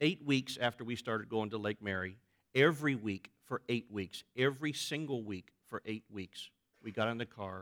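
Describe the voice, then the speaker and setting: A man with an American accent and a normal speaking voice talks at a moderate pace in a medium pitch, with ordinary pitch variation and a dry, close sound with no echo. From Florida. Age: 40s. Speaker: pastor. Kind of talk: sermon. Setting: church.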